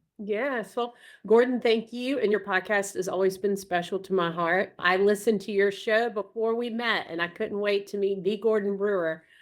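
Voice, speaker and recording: A woman speaks at a medium pitch and moderate pace with fairly even intonation and hardly any pauses. The recording is very clean, with a silent background. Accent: Southern US. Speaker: group practice owner and consultant. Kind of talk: casual interview chat. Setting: podcast recording.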